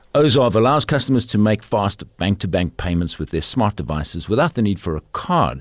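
Over a quiet background, a man speaks at a moderate pace with very wide pitch swings and vocal fry. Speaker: podcast host. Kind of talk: interview. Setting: studio.

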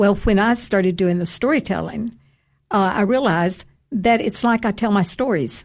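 Over a quiet background, a woman talks at a fairly slow pace in a medium pitch. Her voice is somewhat breathy, with ordinary pitch variation. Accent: Tennessee. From Tennessee, Upper Cumberland (Cookeville). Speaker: author and retired English teacher. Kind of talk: radio interview with storytelling.

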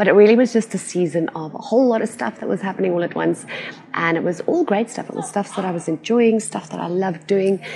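The speaker goes at a very fast pace with ordinary pitch variation over noticeable background noise. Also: woman, medium pitch for a woman. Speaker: business coach and podcast host. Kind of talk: solo podcast monologue. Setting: recording outdoors.

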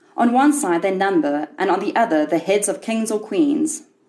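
Speaking at a fairly slow pace, a woman with a dark, mellow tone and vocal fry makes very wide pitch swings. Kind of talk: literary audiobook reading of a short story. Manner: measured, wry and darkly ironic storyteller's delivery.

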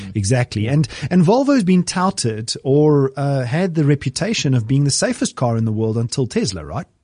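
A man's fairly high, somewhat breathy voice with a dark, mellow tone and lively intonation, at a moderate pace with hardly any pauses, dry and close with no echo. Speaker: podcast host. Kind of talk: casual chat. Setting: studio.

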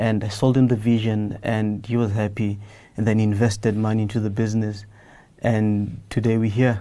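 Recorded with audible room echo, a man with a dark, mellow tone and fairly low pitch speaks at a moderate pace in a monotone, flat intonation. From South Africa, Soweto. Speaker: entrepreneur. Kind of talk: interview. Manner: halting, repeats words.

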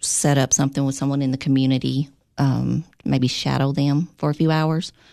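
A woman with a Tennessee accent speaks at a moderate pace in a very deep, low voice with a dark, mellow tone, her intonation monotone and flat and her loudness very even. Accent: Southern US (Tennessee). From Tennessee, Clay County. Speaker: operations director. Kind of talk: interview. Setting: studio.

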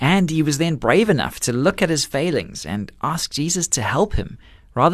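Vocal fry marks this man's fairly high-pitched voice. He talks at a moderate pace. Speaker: radio host. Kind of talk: scripted closing remarks.

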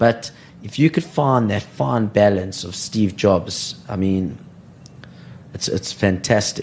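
A very slow man with a fairly low pitch, lively intonation, big swings in loudness and long, frequent pauses, over noticeable background noise. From South Africa, Johannesburg. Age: 20s. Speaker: startup founder and CEO. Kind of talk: interview.

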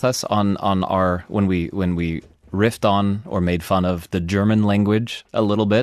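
A man's normal speaking voice, fairly low in pitch, at a moderate pace with fairly even intonation. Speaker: science podcast host. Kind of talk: casual chat.

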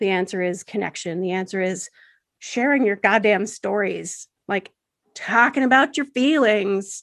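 A woman with an American accent and a plain, everyday voice, medium pitch, ordinary pitch variation and a fairly slow pace. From United States. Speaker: sex educator and author. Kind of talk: interview conversation. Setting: remote call.

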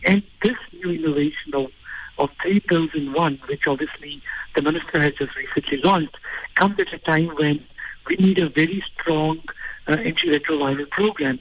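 Speaking at a moderate pace, a man has a fairly high pitch. His intonation shows ordinary pitch variation. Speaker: health organisation CEO. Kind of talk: radio interview.

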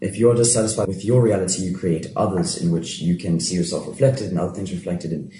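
The speech is very fast with lively intonation. Audible room echo and noticeable background noise are heard. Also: man. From Cape Town, South Africa. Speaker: playwright and actor. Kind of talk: casual chat.

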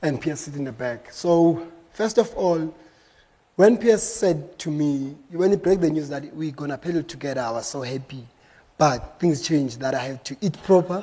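A man with a dark, mellow tone and fairly high pitch talks at a moderate pace. His intonation is lively, and his loudness swings widely. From South Africa, Eastern Cape and Soweto. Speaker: canoe marathon champion, keynote speaker. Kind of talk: conference keynote talk. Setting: stage with live audience.

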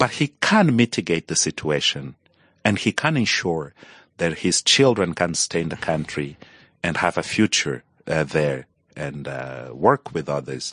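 This man's voice is very deep and low, with vocal fry and lively intonation. The sound is dry and close, with no echo. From Angola. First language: Portuguese (probable; not English). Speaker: journalist and activist. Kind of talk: interview conversation. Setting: studio.

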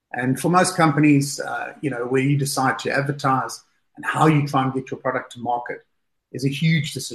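Fairly quick, somewhat breathy male speech pitched fairly high. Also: fairly even intonation. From South Africa. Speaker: fund manager. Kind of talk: interview.

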